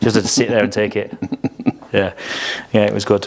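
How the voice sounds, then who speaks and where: A man with an English accent and a fairly low pitch, over noticeable background noise. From England. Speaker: podcast host. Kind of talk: casual chat.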